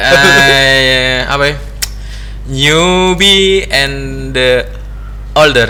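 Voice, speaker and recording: Amid noticeable background noise and audible room echo, a man talks at a very slow pace with long, frequent pauses. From Indonesia, Gorontalo / South Sulawesi. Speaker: podcast host, telecom company employee. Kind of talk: casual chat.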